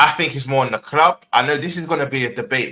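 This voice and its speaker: A man's bright, sharp voice with a London accent at a very fast pace. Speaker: football podcast panelist. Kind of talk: casual debate.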